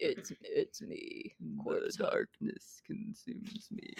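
Using a put-on character voice, the man pitches himself extremely high. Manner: dark, ominous.

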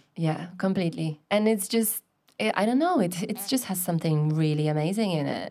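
With a Polish accent, a woman speaks at a fairly quick pace in a dark, mellow tone, with medium pitch and ordinary pitch variation. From Poland. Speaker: scuba dive instructor trainer. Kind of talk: casual chat.

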